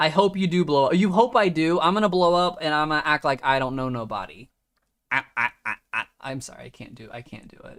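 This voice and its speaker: A man with an American accent talks at a fairly quick pace and a fairly high pitch, his intonation lively. His loudness swings widely, in a dry, close sound with no echo. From US Midwest, Ohio. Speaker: fantasy motocross streamer. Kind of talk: live stream chat with viewers. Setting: live video stream late at night.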